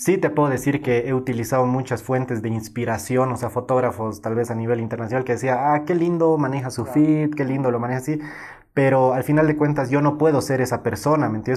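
Barely pausing, a man rushes along at a very fast pace with a medium pitch and fairly even intonation. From Bolivia, Cochabamba. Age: 20s. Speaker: photographer. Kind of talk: interview.

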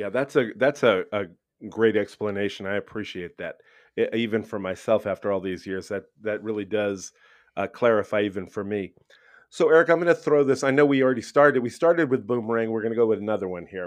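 With an American accent, a man speaks in a plain, everyday voice at a fairly quick pace, his pitch fairly low with ordinary variation, over a quiet background. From Brooklyn, New York. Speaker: podcast host, public school educator. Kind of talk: casual interview.

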